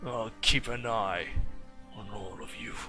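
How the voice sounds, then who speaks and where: With clear music in the background, a man growls through a put-on character voice at a fairly slow pace and a medium pitch. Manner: menacing, gruff.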